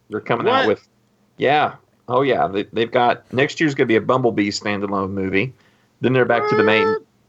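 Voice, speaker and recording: A man speaks at a fairly quick pace in a plain, everyday voice. His pitch is medium, with ordinary variation. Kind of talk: casual chat.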